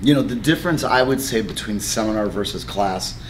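Light background noise sits behind a man with a fairly low pitch. His pace is moderate and his pitch variation ordinary. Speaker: martial arts instructor. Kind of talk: interview answer. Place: gym.

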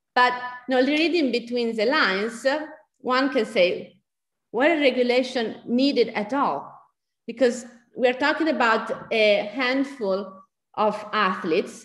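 A high-voiced woman speaks at a fairly slow pace with long, frequent pauses, her voice carrying audible room echo. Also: ordinary pitch variation. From Italy. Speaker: bioethicist. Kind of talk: Q&A discussion; lecture. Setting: pre-recorded video.

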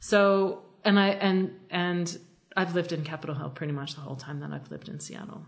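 In an American accent, a woman speaks at a fairly quick pace with a fairly low pitch and ordinary pitch variation. Her voice is somewhat breathy, with big swings in loudness and audible room echo. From Philadelphia, US. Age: 40s. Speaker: cartoonist. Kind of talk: casual interview.

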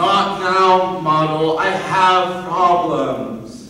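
A man puts on a character voice at a high pitch with a bright, sharp tone and ordinary pitch variation. He speaks at a very slow pace amid strong room echo.

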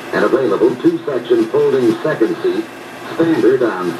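Moderate speed from a man, noticeable background noise throughout. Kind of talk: 1970s commercial film narration, scripted sales pitch. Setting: film soundtrack played in dealerships. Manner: formal, polished, authoritative, punchy and emphatic.

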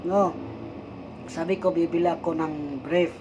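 This man's voice sits high in pitch. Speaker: vlogger, church worker. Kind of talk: personal vlog monologue. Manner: halting, with fillers.

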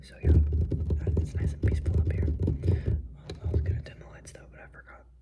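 Soft-spoken, relaxed speech at a moderate pace amid noticeable background noise. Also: man. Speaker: ASMR creator. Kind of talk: ASMR Bible reading with casual commentary to camera.

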